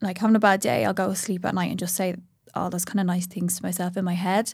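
Speaking at a very fast pace, a woman shows vocal fry and fairly even intonation in a very clean recording with a silent background. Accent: Irish. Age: 30s. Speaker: social media influencer. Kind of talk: casual chat.

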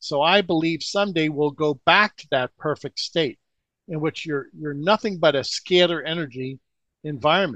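Using a normal speaking voice, a man speaks at a moderate pace and fairly high pitch with ordinary pitch variation, the sound dry and close with no echo and the background quiet. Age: 60s. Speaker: alternative energy researcher. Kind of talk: interview.

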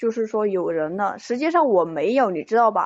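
A plain, everyday voice from a woman, fairly high in pitch, at a moderate pace. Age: 20s. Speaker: caller seeking relationship advice. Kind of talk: call-in advice conversation. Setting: phone call into live stream.

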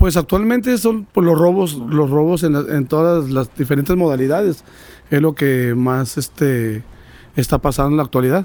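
A man speaks at a moderate pace in a dark, mellow tone. His intonation is lively. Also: fairly high pitch for a man. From Mexico, San Luis Potosí. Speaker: police officer. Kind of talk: interview.

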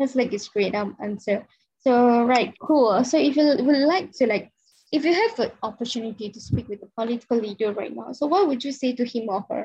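Talking at a fairly quick pace with a Malaysian accent, a woman has a high pitch, a dark, mellow tone and big swings in loudness. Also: ordinary pitch variation. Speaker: podcast host. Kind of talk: casual interview chat.

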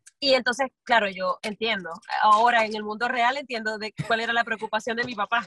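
Fairly high in pitch, a woman talks at a fairly quick pace with fairly even intonation in an unremarkable speaking voice, recorded dry and close with no echo. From Venezuela, San Cristóbal. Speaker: singer and musical theatre actress. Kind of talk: casual interview.

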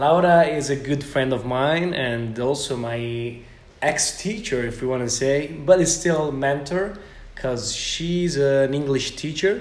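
The speaker talks at a fairly slow pace with an Italian accent and ordinary pitch variation. Noticeable background noise runs underneath. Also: man, fairly high pitch for a man. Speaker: podcast host. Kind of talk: interview conversation. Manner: halting.

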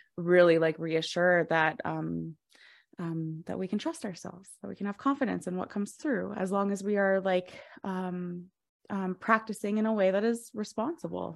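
A normal speaking voice in an American accent, with ordinary pitch variation, on a very clean recording with a silent background. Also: woman, medium pitch for a woman, moderate pace. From Colorado. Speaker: podcast host, astrologer. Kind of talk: interview.

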